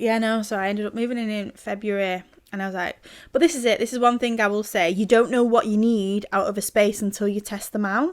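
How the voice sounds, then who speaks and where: A woman in a Manchester accent talks at a very fast pace with a fairly high pitch, in a very clean recording with a silent background. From northern England, Greater Manchester (Sale). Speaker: podcast co-host. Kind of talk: casual chat. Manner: animated.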